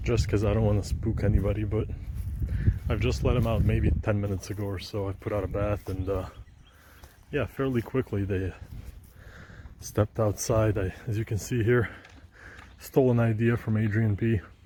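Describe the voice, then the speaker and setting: A man's fairly low, dark and mellow voice with vocal fry, broken by long, frequent pauses. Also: ordinary pitch variation, moderate pace. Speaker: pigeon keeper, video blogger. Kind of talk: casual vlog. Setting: outdoors. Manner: whispering, quiet.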